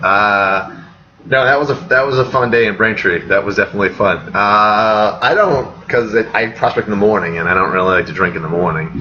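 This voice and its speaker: Energetic in tone, a man with an American accent and a fairly low pitch speaks at a very fast pace with ordinary pitch variation, over noticeable background noise. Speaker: real estate agent. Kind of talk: live webinar Q&A. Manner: casual, energetic.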